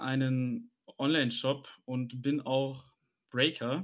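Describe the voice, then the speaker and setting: A man's fairly high voice in a flat, monotone delivery. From Hesse, Germany (Maintal near Frankfurt). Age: 20s. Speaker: podcast co-host, online card shop owner. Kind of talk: casual chat.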